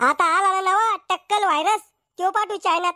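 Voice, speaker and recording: A woman does a cartoonish character voice, squeaky and extremely high in pitch. The sound is dry and close with no echo. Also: moderate pace. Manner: scolding, coarse.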